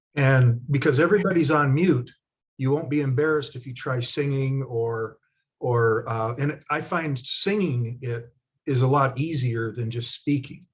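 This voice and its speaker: Speaking at a fairly slow pace, a man with a medium-pitched, somewhat breathy voice uses ordinary pitch variation. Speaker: spiritual teacher. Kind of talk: teaching workshop. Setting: video call.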